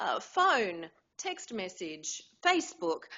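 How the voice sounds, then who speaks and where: Talking very slowly, a woman with an Australian accent uses a fairly high pitch. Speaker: voice actor. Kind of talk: interview answer.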